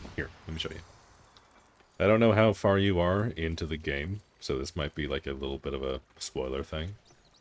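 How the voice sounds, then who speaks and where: A man talks in a very deep, low pitch with vocal fry. His pitch varies in an ordinary way. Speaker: game streamer. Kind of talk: live gameplay stream chat. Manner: fast.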